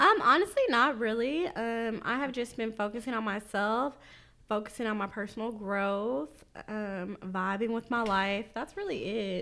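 In a very clean recording with a silent background, a woman with a plain, everyday voice and fairly high pitch speaks at a fairly slow pace with ordinary pitch variation. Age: 30s. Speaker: podcast co-host. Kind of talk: casual chat.

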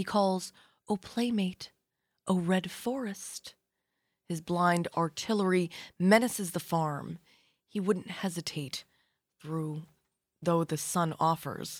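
A woman with a warm tone and fairly low pitch speaks at a very slow pace, with ordinary pitch variation and long, frequent pauses. The sound is dry and close with no echo, on a very clean recording with a silent background. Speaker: radio host. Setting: live radio studio. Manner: smooth, warm and conversational, unhurried with station-ID phrases.

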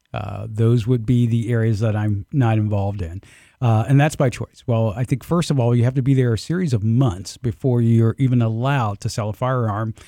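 A man with an American accent and a normal speaking voice talks fairly quickly at a medium pitch, with ordinary pitch variation and hardly any pauses. The recording is very clean and dry, close with no echo and a silent background. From US South, Southwest Georgia (Albany). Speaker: technology professional, gun club member. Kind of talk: casual chat. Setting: studio.

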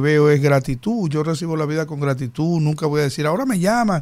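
Here is a plain, everyday voice at a fairly quick pace. Its pitch variation is ordinary. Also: man. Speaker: mayoral candidate. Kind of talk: studio interview.

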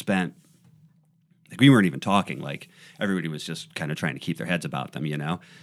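On a very clean recording with a silent background, a man with an American accent speaks with vocal fry. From Ohio. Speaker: musician and singer. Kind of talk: casual interview chat.

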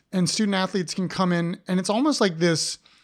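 A man with an American accent talks at a fairly quick pace with ordinary pitch variation, in a very clean recording with a silent background. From Ohio. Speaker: podcast host, art professor. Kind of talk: casual interview chat. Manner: halting, many restarts.

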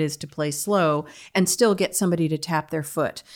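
On a very clean recording with a silent background, a woman with an American accent speaks at a moderate pace. She has an unremarkable speaking voice with ordinary pitch variation. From United States. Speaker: fiddler and music teacher. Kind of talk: interview conversation.

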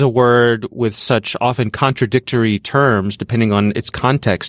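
A man with a normal speaking voice at a moderate pace, ordinary pitch variation, and a dry, close sound with no echo on a very clean recording over a silent background. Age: 50s. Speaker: podcast host. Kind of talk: casual chat.

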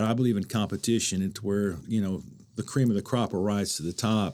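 A fairly low-pitched man's voice with a dark, mellow tone, ordinary pitch variation and an American accent, on a very clean recording with a silent background. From Oklahoma. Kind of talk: casual interview.

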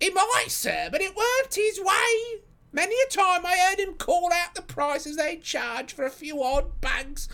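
In a put-on character voice, the speaker goes at a fairly slow pace with lively intonation and a bright, sharp tone. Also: man, extremely high pitch for a man.

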